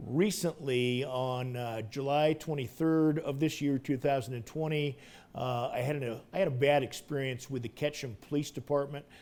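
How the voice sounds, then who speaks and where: A man with an American accent speaks at a moderate pace, his pitch fairly high for a man. He barely pauses and keeps his intonation fairly even. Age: 60s. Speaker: wheelchair user recounting police encounter. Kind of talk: testimony. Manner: halting, many fillers.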